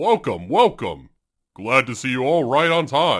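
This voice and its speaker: A cartoonish character voice from a man, fairly high in pitch, in a very clean recording with a silent background. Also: moderate pace. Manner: enthusiastic.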